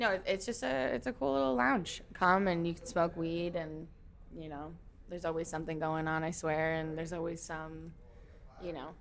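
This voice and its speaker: The speaker has an American accent and a moderate pace. Pitch varies in an ordinary way. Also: woman, fairly low pitch for a woman. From Minnesota, rural small town. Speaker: festival security worker and concierge. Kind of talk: casual chat. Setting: members' lounge.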